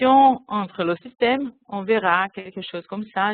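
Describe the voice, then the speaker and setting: Someone with a non-native accent speaks fairly slowly with ordinary pitch variation. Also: woman. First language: not French (speaking French). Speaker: convention secretariat staff, system developer. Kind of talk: webinar software demonstration. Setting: online webinar. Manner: halting.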